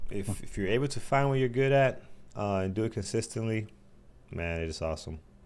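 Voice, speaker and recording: In a New York accent, a man talks at a fairly quick pace. His medium pitch carries lively intonation. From New York City. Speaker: day trading show host. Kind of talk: live trading show chat.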